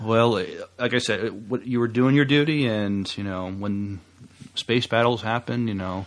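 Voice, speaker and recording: The speaker uses a normal speaking voice at a fairly slow pace. Pitch variation is ordinary. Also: man, medium pitch for a man. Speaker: podcast co-host. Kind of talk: casual chat.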